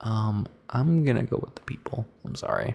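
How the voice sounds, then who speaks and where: A man's soft-spoken, somewhat breathy whisper. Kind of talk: ASMR rambling, answering questions. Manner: whispered and soft-spoken, switching.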